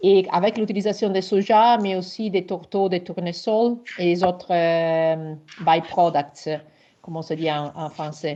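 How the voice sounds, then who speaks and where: With an Italian accent, a woman talks at a fairly slow pace. Her voice sits fairly low and shows ordinary pitch variation. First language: Italian (speaking French). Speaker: researcher. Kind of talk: webinar presentation Q&A. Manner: halting.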